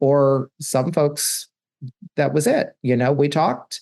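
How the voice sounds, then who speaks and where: The recording sounds dry and close, with no echo, as a man talks in a normal speaking voice. His pitch is medium, his pace moderate, and his intonation fairly even. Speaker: podcast host and coach. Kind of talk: solo podcast monologue.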